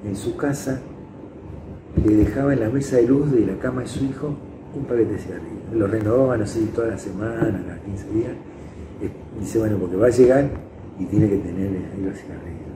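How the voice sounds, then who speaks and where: A man with a medium pitch talks at a fairly quick pace, with ordinary pitch variation and long, frequent pauses. Audible room echo and noticeable background noise surround him. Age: 70s. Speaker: psychologist. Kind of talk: interview testimony. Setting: indoors interview. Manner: halting.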